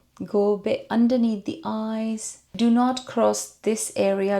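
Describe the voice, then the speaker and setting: A woman with a non-native accent speaks at a very slow pace. The recording is very clean, with a silent background. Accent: unique non-native English. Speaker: beauty vlogger. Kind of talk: makeup tutorial; casual chat.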